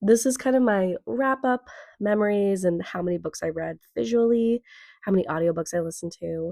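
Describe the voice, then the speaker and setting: In a dry, close recording with no echo, a woman with a dark, mellow tone speaks fairly quickly with lively intonation. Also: medium pitch for a woman. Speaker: book influencer. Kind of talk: casual talk to camera.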